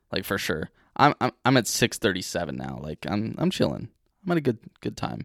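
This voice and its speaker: Over a very clean recording with a silent background and a dry, close sound with no echo, a man with a fairly low pitch and vocal fry talks at a fairly quick pace with very wide pitch swings. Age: 20s. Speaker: podcast co-host. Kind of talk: casual chat.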